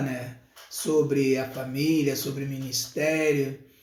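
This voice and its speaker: Audible room echo surrounds speech delivered at a very slow pace. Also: man. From Rio de Janeiro, Brazil. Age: 60s. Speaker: evangelist preacher. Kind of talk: casual live stream talk with church announcements. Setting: live stream.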